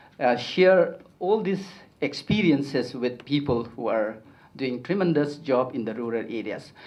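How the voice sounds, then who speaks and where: A man's fairly high voice, lively intonation, a fairly slow pace and audible room echo. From Northeast India, Kuki community. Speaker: education activist, conference speaker. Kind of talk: conference talk. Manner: halting, many fillers.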